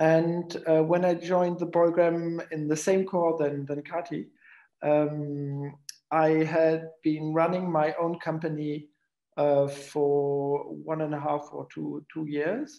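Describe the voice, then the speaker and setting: A man speaks at a very slow pace with a German accent, his dark, mellow tone held in a flat, monotone delivery. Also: fairly high pitch for a man, quiet background. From Germany. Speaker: coach, program alumnus. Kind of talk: personal introduction in webinar. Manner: halting.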